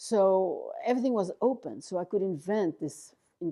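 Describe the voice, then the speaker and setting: Against a quiet background, someone speaks at a fairly slow pace with a French accent. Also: woman. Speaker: artist. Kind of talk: interview. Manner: halting.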